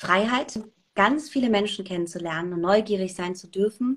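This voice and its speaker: Ordinary pitch variation and a moderate pace in a woman's medium-pitched voice, a plain, everyday voice. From Germany, Saarland. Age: 30s. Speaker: radio presenter and journalist. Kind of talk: casual interview. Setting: video call.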